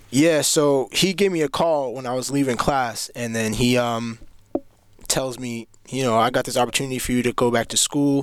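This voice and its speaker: This is an unremarkable speaking voice, a man with an American accent at medium pitch and a moderate pace. His intonation is fairly even, and the recording is very clean with a silent background. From Cambridge, Massachusetts. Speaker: college student. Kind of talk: casual interview. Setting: studio.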